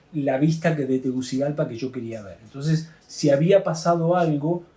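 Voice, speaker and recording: At a moderate pace, a man is speaking. His pitch varies in an ordinary way. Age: 60s. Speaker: plane crash survivor, former UN worker. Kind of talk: testimony. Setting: drinking wine in Santiago. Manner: halting, many fillers.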